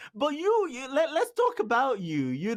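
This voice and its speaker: Here a man speaks at a moderate pace. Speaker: podcast host. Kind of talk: podcast interview. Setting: video call. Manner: repetitive stammering.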